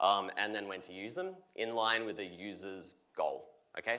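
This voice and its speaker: In a room with audible echo, a man with an Australian accent speaks at a fairly slow pace in a bright, sharp tone with lively intonation. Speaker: solutions architect. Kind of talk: conference keynote demo. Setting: stage with audience. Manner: energetic.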